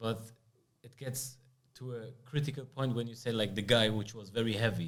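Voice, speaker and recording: A man's voice in monotone, flat intonation, with big swings in loudness and audible room echo. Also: medium pitch for a man, moderate pace. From Germany. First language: German. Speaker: podcast host. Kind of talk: podcast interview.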